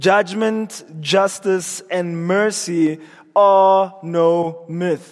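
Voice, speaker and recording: Amid noticeable background noise, the man talks in a high pitch. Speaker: preacher. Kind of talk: sermon.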